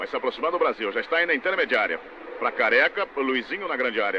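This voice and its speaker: A man speaks over noticeable background noise. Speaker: radio sports commentator. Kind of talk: vintage live football commentary, archive match broadcast. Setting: stadium, broadcast over archive footage. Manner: rapid-fire, clipped play-by-play, reeling off player names; excitable on shots and chances, lively.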